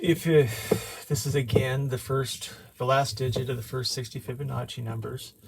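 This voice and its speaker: A man speaks at a moderate pace with fairly even intonation. Noticeable background noise can be heard. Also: medium pitch for a man. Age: 60s. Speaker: amateur math video maker. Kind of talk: explanatory tutorial. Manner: halting, many fillers.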